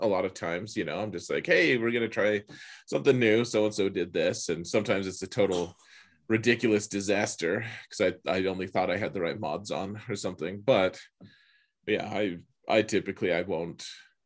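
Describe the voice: With an unremarkable speaking voice, a man talks at a fairly quick pace and fairly low pitch. His pitch variation is ordinary, and the background is quiet.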